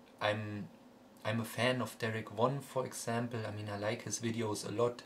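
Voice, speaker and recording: With noticeable background noise behind him, a man talks in a German accent with monotone, flat intonation. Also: medium pitch for a man, moderate pace. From Germany. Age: 20s. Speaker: music collector vlogger. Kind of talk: casual vlog monologue. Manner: halting, many fillers and repetitions.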